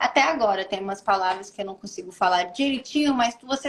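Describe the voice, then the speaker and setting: Someone with an American accent talks at a fairly quick pace, their intonation lively. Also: woman. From United States. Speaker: model. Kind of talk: interview. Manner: halting.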